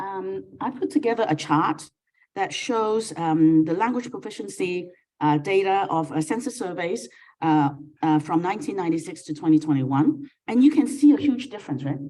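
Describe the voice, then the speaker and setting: Speaking at a moderate pace in a Cantonese accent, a woman with a dark, mellow tone makes very wide pitch swings. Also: medium pitch for a woman. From Hong Kong. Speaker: keynote speaker, academic. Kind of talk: keynote lecture with slides. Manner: hesitant, many fillers.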